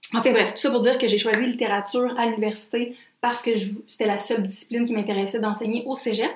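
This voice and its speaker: Talking very fast in a Quebec accent, a woman keeps a flat, monotone delivery at a fairly high pitch over noticeable background noise. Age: 20s. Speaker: podcast co-host, literature graduate. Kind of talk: casual chat.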